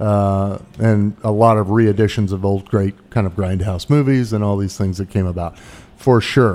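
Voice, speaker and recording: A dark, mellow tone at a moderate pace, fairly even in intonation, with hardly any pauses. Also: man, fairly low pitch for a man. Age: 40s. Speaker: film podcast host. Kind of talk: casual chat. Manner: halting.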